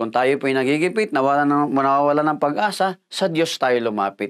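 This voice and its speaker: With a quiet background, a man speaks in a lively, varied intonation. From Philippines. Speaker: pastor. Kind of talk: sermon, devotional Bible teaching with prayer. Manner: earnest, polite, measured preacher's delivery with frequent fillers. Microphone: lapel.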